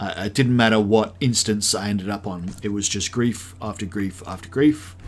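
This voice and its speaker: A man with an American accent at a fairly low pitch and moderate pace with ordinary pitch variation, on a very clean recording with a silent background. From South Africa. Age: 30s. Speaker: gaming streamer. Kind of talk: casual live stream chat.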